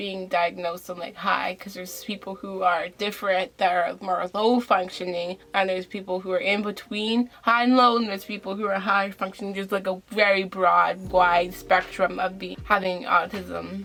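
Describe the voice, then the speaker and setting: Amid noticeable background noise, a woman at a medium pitch speaks in a monotone, flat intonation at a moderate pace with hardly any pauses and big swings in loudness. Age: young. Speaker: vlogger. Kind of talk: casual talk to camera.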